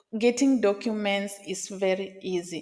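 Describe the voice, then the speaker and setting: A woman with a Kenyan accent and monotone, flat intonation. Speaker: vlogger. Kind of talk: casual vlog talk to camera. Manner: conversational, some hesitations.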